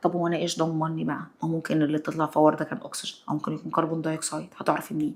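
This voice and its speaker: Talking at a very fast pace with hardly any pauses, a woman with an Egyptian accent uses a very deep, low pitch and an animated tone. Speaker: science teacher. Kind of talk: lesson with student.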